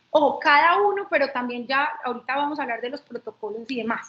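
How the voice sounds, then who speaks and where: High-pitched and at a fairly quick pace, a woman talks. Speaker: lawyer. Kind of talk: webinar lecture. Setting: online webinar.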